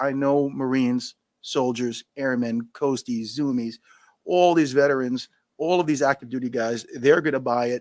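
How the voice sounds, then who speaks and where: Energetic in tone, a man with a New York accent speaks at a medium pitch with ordinary pitch variation, in a dry, close sound with no echo. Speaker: scotch brand founder, retired Marine. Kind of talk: live podcast Q&A. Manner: fast.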